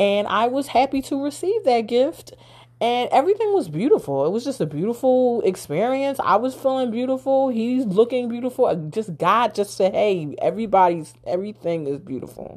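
A woman's animated, high-pitched voice at a moderate pace, with very wide pitch swings. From Philadelphia, US. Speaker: podcast host. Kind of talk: casual storytelling monologue.

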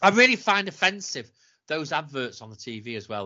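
A man is speaking. His intonation is lively. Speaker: podcast co-host. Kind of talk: casual chat, rant. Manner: sarcastic, caustic, ranting.

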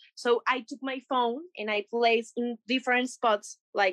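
Speaking in a Spanish accent, a woman with a high pitch and a bright, sharp tone talks at a fairly slow pace with fairly even intonation, her sound dry and close with no echo. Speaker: makeup artist and creative director. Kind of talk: interview. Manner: halting.

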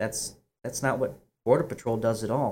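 A man speaks at a moderate pace and medium pitch. It is an unremarkable speaking voice. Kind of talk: opinionated political commentary. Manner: sarcastic, opinionated.

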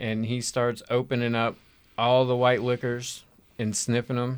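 Speech comes at a very slow pace on a very clean recording with a silent background. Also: man. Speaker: game master. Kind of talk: casual tabletop roleplaying game chat.

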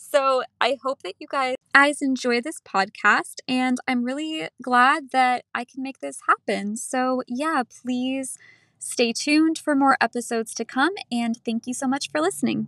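This woman's raised, projected voice sits high and has a bright, sharp tone. The recording is very clean with a silent background, dry and close with no echo. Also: ordinary pitch variation, fairly slow pace. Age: 20s. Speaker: podcast host. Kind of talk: casual monologue.

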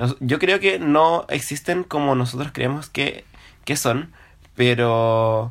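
With a Chilean accent, a man speaks at a very slow pace and a fairly high pitch with ordinary pitch variation. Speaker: podcast co-host. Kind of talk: casual chat.

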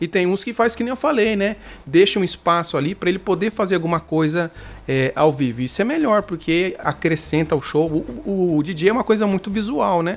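A man with a high pitch talks fairly quickly, his intonation lively. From Brazil, Mato Grosso do Sul. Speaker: bass player and channel host. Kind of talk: casual interview. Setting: live stream.

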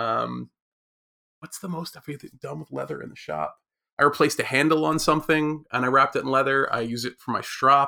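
Speaking at a fairly quick pace, a man makes big swings in loudness. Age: 40s. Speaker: maker and educator. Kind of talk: casual chat.

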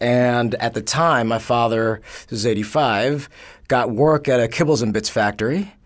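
A man speaks in an unremarkable speaking voice at a moderate pace and medium pitch, with very even loudness and ordinary pitch variation, in a very clean recording with a silent background. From New York, Bronx. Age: 30s. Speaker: sociologist. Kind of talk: casual interview.

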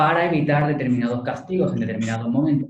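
Somewhat breathy, the man speaks at a fairly high pitch. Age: 20s. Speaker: lawyer. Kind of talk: interview.

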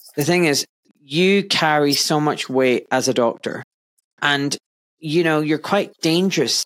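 A man talks at a moderate pace in a fairly high pitch. His tone is fairly bright, and his intonation is lively.

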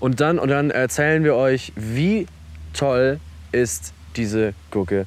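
A man speaks at medium pitch and a very slow pace, with long, frequent pauses. His pitch swings very widely while his loudness stays very even. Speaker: podcast co-host. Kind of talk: casual chat. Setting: outdoors on a park bench. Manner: relaxed.

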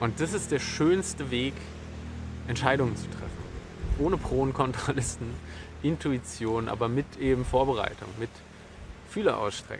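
Long, frequent pauses in a man's medium-pitched, moderately paced speech with lively intonation. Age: 30s. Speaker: podcast host. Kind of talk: solo monologue. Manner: halting.

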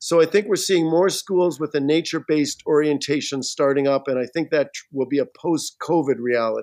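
A plain, everyday voice moves at a fairly quick pace with hardly any pauses and ordinary pitch variation, the sound dry and close with no echo. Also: man, fairly high pitch for a man. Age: 60s. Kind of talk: casual interview chat. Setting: remote video call.

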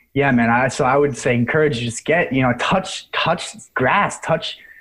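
At a fairly slow pace, a man talks in a fairly high pitch. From US Northeast, lower New York. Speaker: rewilding practitioner. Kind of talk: casual interview. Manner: halting.

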